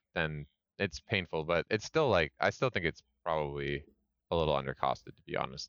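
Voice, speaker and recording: A man's very deep, low voice with vocal fry, a Canadian accent and a fairly quick pace. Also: ordinary pitch variation. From Canada. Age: 30s. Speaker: miniatures business owner. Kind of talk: casual chat.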